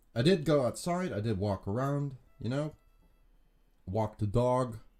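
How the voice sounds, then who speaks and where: Over music in the background, a man with a medium pitch and lively intonation speaks at a fairly slow pace. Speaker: streamer. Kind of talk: casual live stream chat. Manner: articulated on air.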